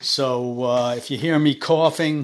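A man speaks in a raspy voice at a fairly slow pace. His intonation is fairly even. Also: medium pitch for a man.

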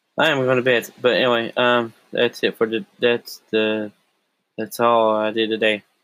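At a moderate pace, the speech stays monotone and flat. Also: man, medium pitch for a man. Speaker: solo podcaster. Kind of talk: personal audio diary. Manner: halting, many fillers.

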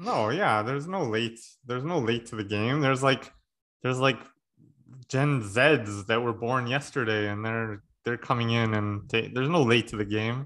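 A man with a plain, everyday voice speaks at a medium pitch and moderate pace with ordinary pitch variation. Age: 30s. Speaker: podcast host. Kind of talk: casual chat. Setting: video call.

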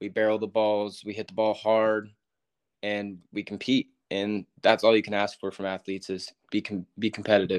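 In a Californian accent, a man with a fairly low pitch speaks at a moderate pace with monotone, flat intonation, in a dry, close sound with no echo against a quiet background. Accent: Californian American. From Northern California, Yuba City. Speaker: college baseball player. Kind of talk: interview.

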